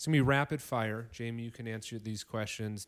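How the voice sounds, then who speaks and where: A man with a normal speaking voice and an American accent talks at a fairly quick pace in a fairly low pitch on a very clean recording with a silent background. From northern Illinois. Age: 30s. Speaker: podcast host and teacher. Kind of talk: casual chat. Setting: living room by a fireplace.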